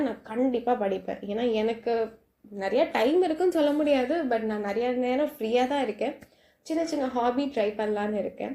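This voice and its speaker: A soft-spoken woman's voice, fairly high in pitch, with a dark, mellow tone and ordinary pitch variation. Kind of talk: casual night talk to listener. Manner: soft, friendly.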